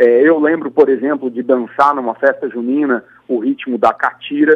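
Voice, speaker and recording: A man speaks here. His pitch swings very widely. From Brazil, Campo Grande, Mato Grosso do Sul. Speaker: composer and guitarist. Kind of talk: radio interview. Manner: halting.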